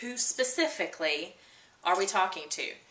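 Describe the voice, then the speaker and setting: A woman speaks at a moderate pace. The room has audible echo, and there is noticeable background noise. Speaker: trainer for association membership directors. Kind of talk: video tutorial.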